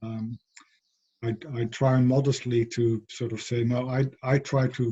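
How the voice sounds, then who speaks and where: Monotone and flat in intonation, a man speaks at a medium pitch with a somewhat breathy, dark, mellow tone. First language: not English. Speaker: philosopher of education, professor. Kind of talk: interview conversation. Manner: hesitant, many fillers and repetitions.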